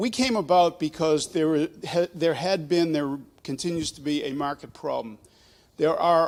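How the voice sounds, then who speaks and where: A man with an American accent speaks at a moderate pace with a high pitch and ordinary pitch variation. The recording is very clean with a silent background. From Boston. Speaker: startup presenter. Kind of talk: pitch presentation.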